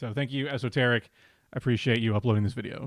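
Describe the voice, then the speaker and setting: Over a quiet background, a man talks at a very fast pace with ordinary pitch variation and a dry sound that has no echo. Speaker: streamer. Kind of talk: casual stream chat. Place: home room. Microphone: studio mic.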